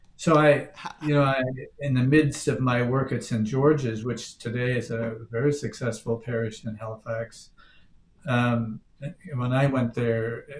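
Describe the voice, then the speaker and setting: Over light background noise, a man with an American accent speaks in a somewhat breathy, medium-pitched voice with monotone, flat intonation. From Newfoundland, Canada. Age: 70s. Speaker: priest. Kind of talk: interview. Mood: calm, reflective. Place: home room. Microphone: webcam.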